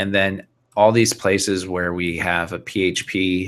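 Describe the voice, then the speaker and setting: A man speaks fairly slowly at a very deep, low pitch with fairly even intonation. His tone is bright and sharp. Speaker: software developer giving a webinar. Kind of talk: technical tutorial webinar. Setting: live online video broadcast.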